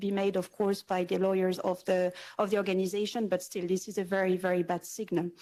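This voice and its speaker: A woman with a French accent talks at a fairly quick pace in a medium pitch with a dark, mellow tone. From France. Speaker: environmental NGO representative. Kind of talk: panel discussion. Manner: hesitant, many fillers.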